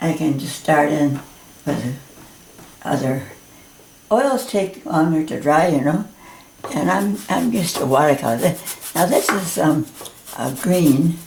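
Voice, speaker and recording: Slowly and with long, frequent pauses, a woman speaks with a very deep, low pitch and lively intonation. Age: 90s. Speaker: painting teacher. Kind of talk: tutorial. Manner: halting.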